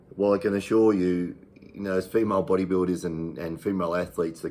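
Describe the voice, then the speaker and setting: In an Australian accent, a man with a very deep, low pitch talks at a fairly quick pace with fairly even intonation on a very clean recording with a silent background. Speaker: fitness channel host. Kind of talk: casual talk to camera. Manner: hesitant, many fillers.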